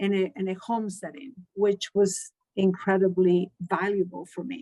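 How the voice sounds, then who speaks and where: A woman with a Spanish accent speaks at medium pitch and a moderate pace, with a dry, close sound with no echo. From Chile. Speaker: Spanish teacher. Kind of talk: interview. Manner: halting.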